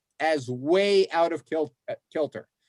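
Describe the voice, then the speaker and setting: The recording is dry and close, with no echo. A man talks in an American accent. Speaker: law professor. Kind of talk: presentation to legislative task force.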